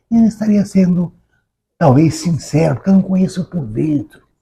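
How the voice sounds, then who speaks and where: With a dark, mellow tone, the man's words come at a moderate pace. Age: 80s+. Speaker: author. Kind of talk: interview conversation. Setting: recorded at a literary academy. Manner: halting, repeats words.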